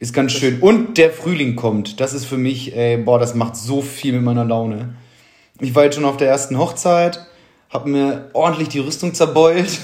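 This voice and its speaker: Moderate pace and ordinary pitch variation. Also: man, fairly high pitch for a man. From Germany, born to Polish family. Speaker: podcast co-host. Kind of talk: casual chat. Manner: animated.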